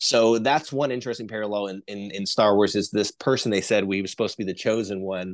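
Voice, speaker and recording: Against a quiet background, a man with an American accent uses an ordinary speaking voice, fairly low pitch, fairly even intonation and a fairly quick pace. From US Midwest, Northeast Ohio. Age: 30s. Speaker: conspiracy researcher. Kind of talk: casual chat.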